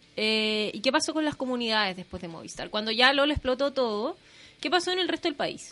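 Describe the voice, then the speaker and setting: A woman speaks in a raised, projected voice at a high pitch. Her pitch swings very widely at a fairly quick pace. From northern Chile, Chuquicamata. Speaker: radio host. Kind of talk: casual radio chat.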